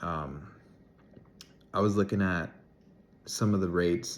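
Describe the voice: A low-pitched man's slow speech with vocal fry and ordinary pitch variation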